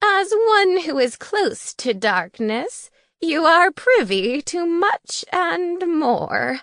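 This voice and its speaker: A woman's put-on character voice, raised and projected at an extremely high pitch, very slow with very wide pitch swings, over a quiet background. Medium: read story. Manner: cryptic, solemn.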